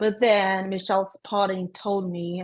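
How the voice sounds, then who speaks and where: Against a quiet background, a woman with a Brazilian accent speaks at a medium pitch and a moderate pace. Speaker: transaction coordinator. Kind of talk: podcast interview.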